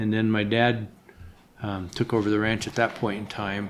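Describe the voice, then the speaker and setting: A man with an American accent at a moderate pace. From Wyoming, US. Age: 70s. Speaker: sheep rancher. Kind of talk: interview. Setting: on a ranch. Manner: halting, many repeated words.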